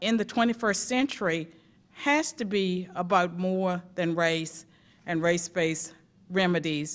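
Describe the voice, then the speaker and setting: A woman speaks with a Southern US accent at a fairly slow pace, her pitch varying in an ordinary way. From rural US South. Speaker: academic testifying at a civil rights commission. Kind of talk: prepared testimony at a public hearing. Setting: public hearing before a commission.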